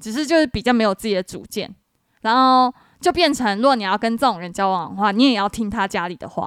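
On a very clean recording with a silent background and a dry, close sound with no echo, a woman with a fairly high voice speaks very fast with lively intonation. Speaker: podcast co-host. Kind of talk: casual chat.

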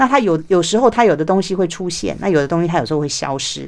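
Lively intonation marks this woman's fairly low-pitched voice. The recording is very clean, with a silent background. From Taiwan. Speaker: author and former journalist. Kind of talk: interview. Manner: hesitant fillers.

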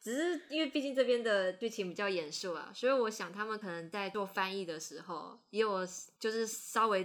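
In a very clean recording with a silent background, a woman with a plain, everyday voice speaks at medium pitch and a moderate pace with lively intonation. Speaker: podcast host, anime editor. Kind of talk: casual chat.

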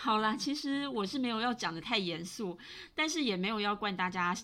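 Her tone bright and sharp, a woman speaks with lively intonation. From Taiwan. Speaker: podcast host. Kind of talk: solo podcast monologue. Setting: home recording.

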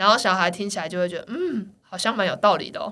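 A woman talks very quickly, her intonation lively. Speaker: children's gymnastics coach. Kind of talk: casual chat. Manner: animated.

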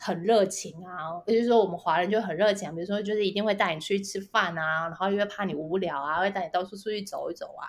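The speech moves at a very fast pace with hardly any pauses. Intonation stays fairly even. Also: woman, medium pitch for a woman. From Taiwan. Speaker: biotech company founder. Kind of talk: interview. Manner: halting, many fillers and repetitions.

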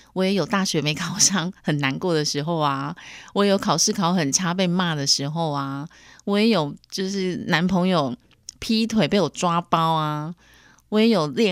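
A woman speaks in a fairly low pitch, captured on a very clean recording with a silent background. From Taiwan. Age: 40s. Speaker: podcast host. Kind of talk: solo podcast monologue. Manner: animated.

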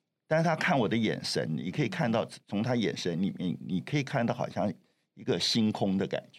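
A man speaks at a moderate pace in a medium-pitched voice with vocal fry, his pitch swinging very widely. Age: 70s. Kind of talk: interview.

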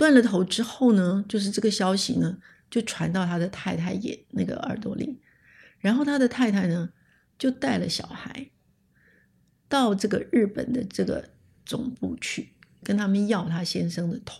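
A woman's medium-pitched voice with vocal fry, ordinary pitch variation, a moderate pace and long, frequent pauses. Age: 70s. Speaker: communication scholar, retired professor. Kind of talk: interview, personal recollection. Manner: halting, many fillers and repetitions.

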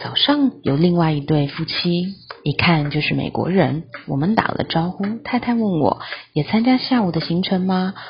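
Noticeable background noise sits behind the speech. The pace is moderate and the intonation lively. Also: woman, fairly low pitch for a woman. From Taiwan. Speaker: travel podcast host. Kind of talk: travel diary narration.

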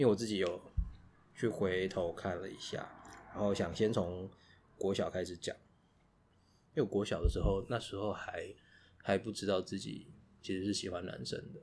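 Speaking at a moderate pace with an ordinary rise and fall, a man with a Taiwanese accent uses a fairly low pitch and takes long, frequent pauses. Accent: Taiwanese Mandarin. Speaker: podcast co-host. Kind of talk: casual chat.

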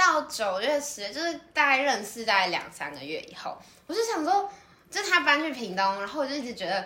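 A woman talks fairly quickly in a high, raised, projected voice, her pitch swinging very widely. Her loudness rises and falls sharply, and audible room echo surrounds her. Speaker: podcast co-host, student. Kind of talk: casual chat.

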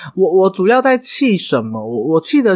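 A man talks at a high pitch with very wide pitch swings. The recording is very clean, the background silent. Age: 30s. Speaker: podcast host and hairdresser. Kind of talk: casual solo monologue.

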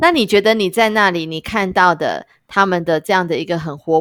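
In a very clean recording with a silent background, a woman speaks at a moderate pace with fairly low pitch and ordinary pitch variation. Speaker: podcast host. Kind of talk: casual interview. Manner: animated.

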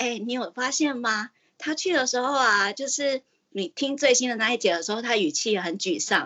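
A woman's plain, everyday voice, fairly high in pitch, with lively intonation at a fairly quick pace. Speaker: caller. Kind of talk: casual chat.

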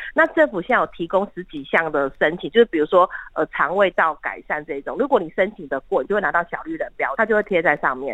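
A woman's very fast speech, bright and sharp in tone, with very wide pitch swings. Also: dry, close sound with no echo. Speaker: hospital pharmacist. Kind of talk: casual interview.

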